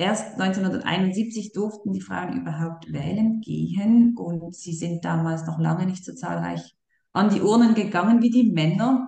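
Her medium-pitched voice, with ordinary pitch variation, moves at a fairly slow pace as the woman talks. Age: 30s. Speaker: campaign co-leader for women in politics. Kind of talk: interview.

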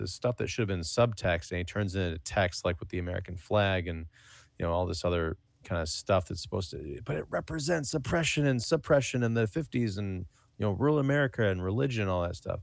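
A man talks at a fairly quick pace in a plain, everyday voice. The background is quiet. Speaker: podcast co-host.

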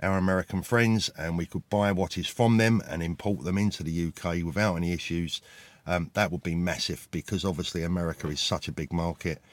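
In a British accent, a man with a very deep, low pitch speaks at a fairly quick pace with ordinary pitch variation, on a very clean recording with a silent background. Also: dry, close sound with no echo. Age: 50s. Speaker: former watch dealer. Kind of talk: casual vlog monologue. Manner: halting, many fillers.

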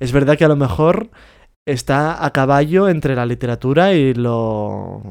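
An ordinary speaking voice, this man talks at a medium pitch and a fairly slow pace. His intonation is lively. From Spain, Catalonia. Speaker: podcast co-host. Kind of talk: casual chat.

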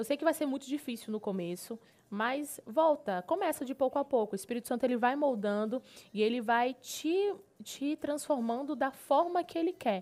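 A woman speaks at a high pitch with lively intonation and an animated tone. The recording is very clean, with a silent background. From Pará, Brazil (Marabá). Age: 20s. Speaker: gospel singer and TV presenter. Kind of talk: casual interview.

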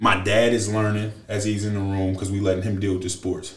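Fairly quick, monotone speech from a man with a fairly low pitch, somewhat breathy and flat in intonation. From US Midwest (Lorain, Ohio). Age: 20s. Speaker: former college football player. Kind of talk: casual chat. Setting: studio.

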